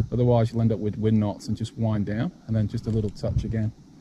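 Noticeable background noise accompanies a man talking at a fairly quick pace in a dry sound with no echo. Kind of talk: tutorial. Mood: relaxed, enthusiastic. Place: boat. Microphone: phone near.

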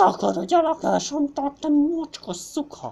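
Shouting in a high voice, a woman uses a put-on character voice. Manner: screaming insults.

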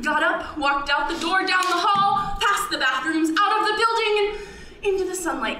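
A woman speaks in a raised, projected voice. The room echo is audible, with light background noise. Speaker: storyteller performer. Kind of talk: personal narrative performance. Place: stage.

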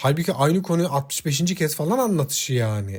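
Very wide pitch swings mark this man's fairly high voice. He talks at a moderate pace. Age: 40s. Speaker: relationship advice YouTuber. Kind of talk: solo talk monologue to viewers. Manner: hesitant, many filler sounds.

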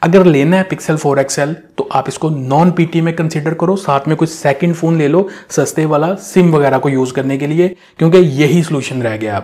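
A man's dark, mellow voice at a moderate pace, with ordinary pitch variation and a quiet background. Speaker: tech reviewer. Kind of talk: phone recommendation talk to camera. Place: studio. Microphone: lapel.

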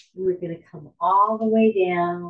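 At a very slow pace, a woman speaks in a somewhat breathy voice with a fairly low pitch. The background is quiet. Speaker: yoga instructor. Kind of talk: guided yoga class with meditation. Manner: calm, soothing, slow and gentle, giving cues in a steady rhythm; warm, reverent, spiritual. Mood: calm, soothing. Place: home room. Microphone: camera far.

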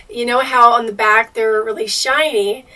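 The woman's intonation stays fairly even. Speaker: RV owner vlogger. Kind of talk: casual vlog chat. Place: home room. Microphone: camera far.

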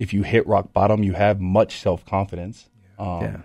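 Dark and mellow in tone, a man's fairly low voice runs flat and monotone over a quiet background. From Utah, Salt Lake area; Utah. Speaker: former pro football player, recovery coach; radio guest. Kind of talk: personal testimony in radio interview. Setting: radio studio. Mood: reflective, candid about struggles. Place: studio. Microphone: studio mic.

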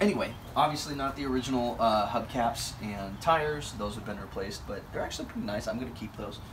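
With noticeable noise behind him, a man speaks at a fairly quick pace with ordinary pitch variation. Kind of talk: casual walkaround tour. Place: street. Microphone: camera far.

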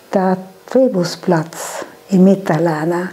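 With a South Tyrolean accent, a woman speaks at a very slow pace. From Lana, South Tyrol, Italy. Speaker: contemporary witness. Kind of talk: interview answer. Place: home room. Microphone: lapel.

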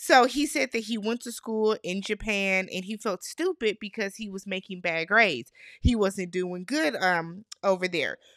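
Against a quiet background with a dry sound and no echo, a woman with a medium pitch talks in an animated tone at a moderate pace, with lively intonation, big swings in loudness and hardly any pauses. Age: 30s. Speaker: YouTube reality TV recapper. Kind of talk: casual recap monologue. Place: home room. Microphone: studio mic.

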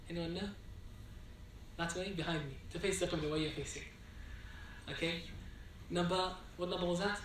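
At a moderate pace and with fairly even intonation, the speaker leaves long, frequent pauses amid audible room echo. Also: man, high pitch for a man.

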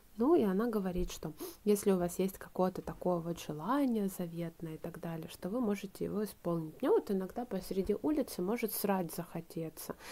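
The tone is dark and mellow, with ordinary pitch variation. The pace is fairly quick. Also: woman. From Ukraine, Donbas; Ukraine. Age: 20s. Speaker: video blogger; vlogger. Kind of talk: casual vlog chat. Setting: at home, drinking tea before bed. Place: home room. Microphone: phone near.

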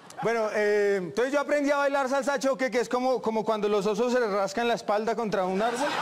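This man's pitch is extremely high, with ordinary variation. He talks at a fairly quick pace over light background noise. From Bogotá, Colombia. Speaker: stand-up comedian. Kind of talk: stand-up comedy routine. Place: stage.

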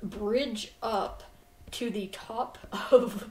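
Audible room echo around a woman's fairly high voice. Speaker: gaming streamer. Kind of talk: casual chat. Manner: halting.

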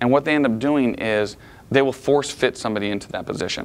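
A man at a fairly quick pace, with ordinary pitch variation. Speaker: management trainer. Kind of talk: lecture. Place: meeting room.

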